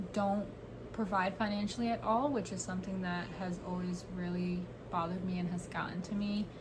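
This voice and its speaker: A woman speaks with an American accent. There is noticeable background noise and audible room echo. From New York. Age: 20s. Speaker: podcaster. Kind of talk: casual chat.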